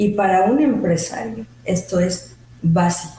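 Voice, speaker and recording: A woman's medium-pitched voice with ordinary pitch variation amid noticeable background noise. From Mexico City. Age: 50s. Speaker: labor lawyer and business owner. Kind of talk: interview. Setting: studio.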